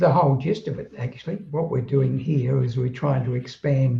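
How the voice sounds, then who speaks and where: At a fairly slow pace, a man speaks at a medium pitch in a dark, mellow tone that is somewhat breathy. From southeast London, England. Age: 80s+. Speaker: spiritual author. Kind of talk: interview conversation. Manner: halting, with repetitions.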